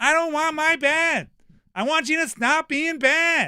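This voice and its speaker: At a fairly slow pace, a man puts on a character voice pitched extremely high. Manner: yelling, scolding.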